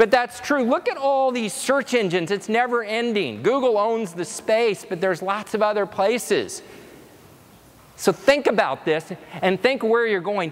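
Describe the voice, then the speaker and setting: A man with a high pitch speaks with lively intonation. Noticeable background noise sits behind him. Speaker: conference speaker. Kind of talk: keynote presentation. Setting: stage with audience. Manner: fast; animated.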